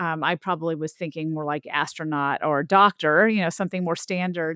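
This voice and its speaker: A woman's bright, sharp voice with an American accent, fairly low in pitch, fairly quick and fairly even in intonation, with a dry, close sound, no echo and a quiet background. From US South. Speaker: linguistics professor and author. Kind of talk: interview.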